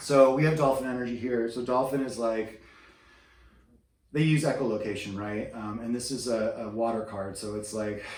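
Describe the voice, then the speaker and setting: A man with fairly even intonation amid audible room echo. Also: medium pitch for a man, moderate pace. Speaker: tarot reader. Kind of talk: tarot reading. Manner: whispering; hesitant, many fillers.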